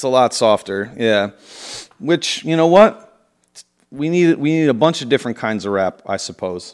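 With an animated tone and very wide pitch swings, a man speaks at a moderate pace in a medium pitch. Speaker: podcast co-host. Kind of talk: casual chat.

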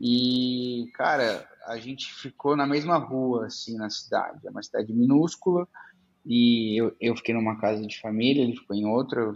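Male speech in an unremarkable speaking voice, mid-pitched, moderately paced, with normal pitch movement. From interior of São Paulo state, Brazil. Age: 20s. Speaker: startup founder. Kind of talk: casual interview chat.

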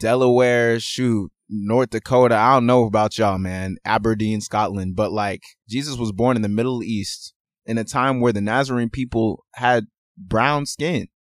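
With an American accent, a man speaks at medium pitch and a moderate pace in a very clean recording with a silent background and a dry, close sound with no echo. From Houston, Texas, partly raised abroad; Nigerian family. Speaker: podcast co-host. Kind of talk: casual chat. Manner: animated.

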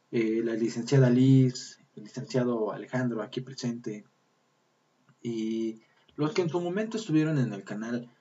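Using a plain, everyday voice, a man talks at a fairly slow pace with a medium pitch and ordinary pitch variation. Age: 30s. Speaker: podcast host. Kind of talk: casual chat. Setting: live stream.

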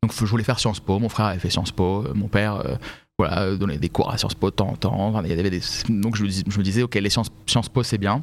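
The speaker is a man with a fairly low pitch and an unremarkable speaking voice. He talks at a fairly quick pace. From Paris region (Vincennes), France. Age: 30s. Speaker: fashion professional. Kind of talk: podcast interview.

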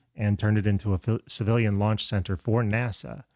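A man with an American accent speaks at a moderate pace in a normal speaking voice, his pitch fairly low. The recording is very clean, with a silent background and a dry, close sound with no echo. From Florida. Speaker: screenwriter and filmmaker. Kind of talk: casual chat.

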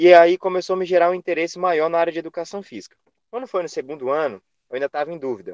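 A high-pitched man talks at a very fast pace with ordinary pitch variation and big swings in loudness, in a dry, close sound with no echo. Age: 20s. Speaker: physical education professional, Pilates instructor. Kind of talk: interview.

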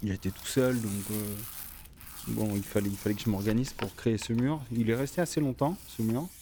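Moderate pacing and ordinary pitch variation in a man's medium-pitched voice. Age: 30s. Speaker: street artist. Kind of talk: personal storytelling. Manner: halting, many fillers and repetitions.

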